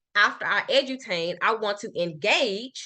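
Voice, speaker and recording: A woman with a Memphis accent, medium in pitch, with a bright, sharp tone. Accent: Southern US (Memphis). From US South, Memphis. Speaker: marketing consultant. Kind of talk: business workshop presentation. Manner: fast.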